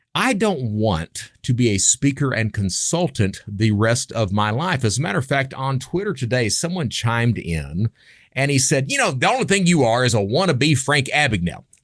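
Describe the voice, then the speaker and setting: A man with an Appalachian accent speaks at a moderate pace and medium pitch, with very wide pitch swings and hardly any pauses. His loudness stays very even, and the recording is very clean with a silent background. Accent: Appalachian US Southern. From Eastern Kentucky. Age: 50s. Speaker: podcast host, former criminal turned consultant. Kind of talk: podcast monologue. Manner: casual, conversational with self-interruptions.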